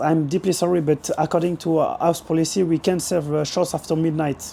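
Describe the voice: Using a put-on character voice, a man speaks hoarsely at a fairly high pitch and a moderate pace, with clear background noise.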